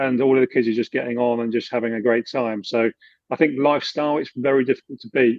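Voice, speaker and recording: A man with a British accent at medium pitch, very fast in pace, with fairly even intonation. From England, UK with childhood in Germany. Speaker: expat finance adviser. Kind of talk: interview.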